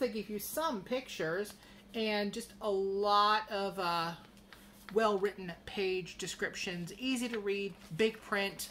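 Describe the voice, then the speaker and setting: A woman speaks at a fairly slow pace. Her tone is bright and sharp, over light background noise. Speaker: crochet vlogger. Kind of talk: casual vlog chat, magazine review. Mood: chatty, lightly humorous. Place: home room. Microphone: phone near.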